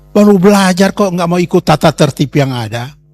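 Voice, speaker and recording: A high-pitched man at a moderate pace with ordinary pitch variation, dry and close with no echo, music in the background. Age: 70s. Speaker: pastor. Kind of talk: testimony. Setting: talk to students at a Bible school.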